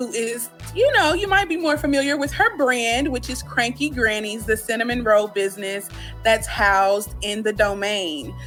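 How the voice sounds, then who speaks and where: Music playing behind a woman speaking at a moderate pace. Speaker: radio host. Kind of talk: radio interview.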